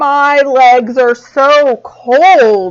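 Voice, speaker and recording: Putting on a character voice, a woman pitches her speech high. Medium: read story.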